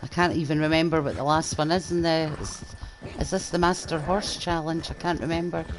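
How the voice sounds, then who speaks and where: A woman in a Scottish accent at a fairly low pitch and fairly quick pace, her intonation monotone and flat, with noticeable background noise. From Scotland. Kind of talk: casual gameplay commentary.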